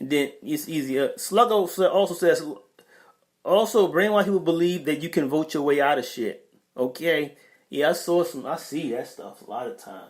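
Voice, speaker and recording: A man with a New York accent speaks at a moderate pace in a high pitch, with ordinary pitch variation and big swings in loudness. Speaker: podcast host reading live chat. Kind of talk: casual livestream talk. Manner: hesitant, many fillers and repeats.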